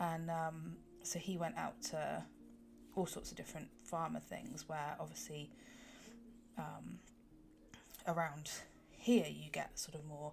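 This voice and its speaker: A woman with a southwest English accent, talking at a fairly slow pace. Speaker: colouring livestreamer. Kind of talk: casual chat. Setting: livestream. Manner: casual with fillers.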